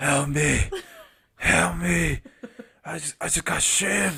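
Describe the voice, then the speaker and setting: A man speaks in a put-on character voice, raspy and fairly high in pitch. His pace is fairly slow. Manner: frantic, pleading.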